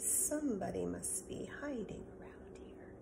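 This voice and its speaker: A put-on character voice in a whisper at a moderate pace, with slight echo and loud background noise. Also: woman. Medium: read story.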